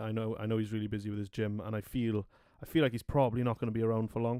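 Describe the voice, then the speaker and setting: In a very clean recording with a silent background and a dry, close sound with no echo, a man with a Welsh accent speaks very fast at a medium pitch in a monotone, flat intonation. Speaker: podcast host. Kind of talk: casual chat.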